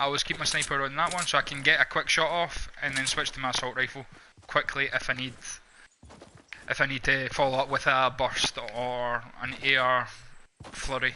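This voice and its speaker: In a Scottish accent, a man speaks at a moderate pace with a medium pitch, his tone bright and sharp and his intonation monotone and flat. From Scotland. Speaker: gamer. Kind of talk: live gameplay commentary. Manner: casual, conversational.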